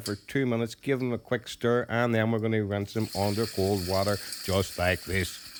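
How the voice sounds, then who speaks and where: The speaker is a man. He has an Irish accent. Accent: Irish, fast. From Ireland. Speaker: cooking youtuber. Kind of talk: cooking tutorial. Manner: fast; animated, informal.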